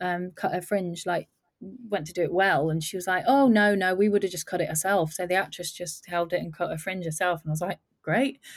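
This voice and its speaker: A woman with an English Midlands accent on a very clean recording with a silent background. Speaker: film makeup and hair designer. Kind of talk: casual interview chat.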